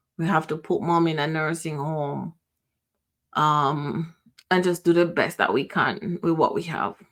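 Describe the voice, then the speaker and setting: With a Jamaican accent, a woman speaks at a fairly low pitch and with fairly even intonation. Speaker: podcast host. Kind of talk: personal reflection. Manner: halting.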